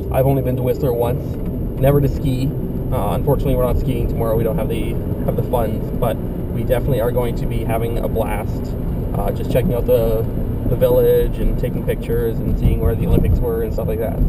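A man speaks at a very fast pace through loud background noise. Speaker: vlogger. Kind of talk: casual vlog chat. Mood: excited, upbeat. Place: car. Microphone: camera far.

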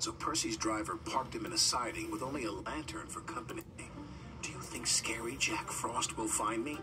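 An unforced reading voice carries the clip.

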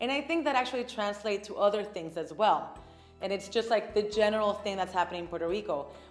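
A woman talking very fast with ordinary pitch variation, audible room echo and faint background music. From Puerto Rico. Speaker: actress and TV host. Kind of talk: interview answer. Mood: thoughtful, calm. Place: studio.

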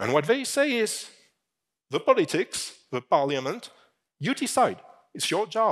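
Speaking with a French accent, a man moves at a fairly slow pace. His pitch swings very widely over a quiet background. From France. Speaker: fintech industry executive. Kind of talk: conference keynote. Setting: stage with audience. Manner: halting. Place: stage. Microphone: headset.

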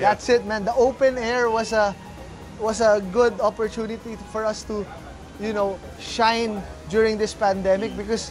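Someone talks at a moderate pace with clear music in the background. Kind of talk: interview answer. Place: cafe. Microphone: lapel.

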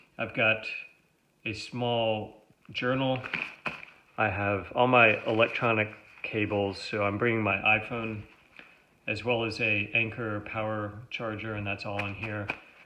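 A man speaks at a fairly low pitch and a fairly slow pace, with long, frequent pauses. His intonation is flat and monotone, and noticeable background noise runs underneath. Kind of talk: gear overview tutorial. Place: home room. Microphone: phone near.

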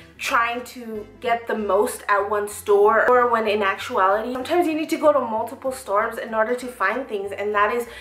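A woman's voice with hardly any pauses, audible room echo and faint music in the background. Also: ordinary pitch variation, moderate pace. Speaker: fashion vlogger. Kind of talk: casual vlog chat. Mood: upbeat, reflective. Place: home room. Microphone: camera far.

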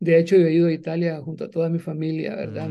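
Here a man is talking. His voice sits high in pitch. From El Salvador, eastern (Jocoro, Morazán); Morazán, El Salvador. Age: 60s. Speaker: writer and journalist, former guerrilla radio founder; journalist, former guerrilla radio founder. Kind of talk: interview. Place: home room. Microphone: video call.

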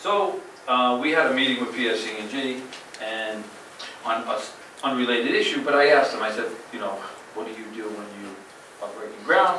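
Speech comes at a moderate pace with audible room echo. Light background noise is present. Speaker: town manager. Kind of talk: official report. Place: hall.

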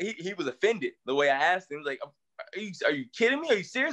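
A raised, projected voice moves at a fairly quick pace with very wide pitch swings over a quiet background. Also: man. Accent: Southern US. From US South (East Tennessee). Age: 30s. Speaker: Paralympic sprinter; interview guest. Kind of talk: interview. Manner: casual, repetitive fillers. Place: home room. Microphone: video call.

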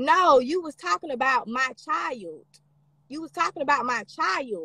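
With an Alabama accent, a woman speaks at a moderate pace with lively intonation. The background is quiet and the sound is dry, with no echo. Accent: sounds like Alabama folks. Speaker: social media personality on live stream; livestreamer. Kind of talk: live stream reading and replying to comments; casual livestream chat answering comments. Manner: heated, combative. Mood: defensive, irritated. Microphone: phone near.

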